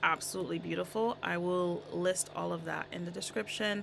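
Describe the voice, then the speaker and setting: The woman's voice sits fairly low, and her speech moves at a moderate pace. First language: not English. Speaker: songwriter vlogger. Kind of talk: casual tutorial vlog.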